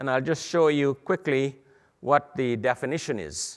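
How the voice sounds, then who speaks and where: A man's medium-pitched voice at a moderate pace. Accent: Guyanese. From Guyana. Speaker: medical imaging educator. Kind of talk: lecture. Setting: stage with audience at a conference.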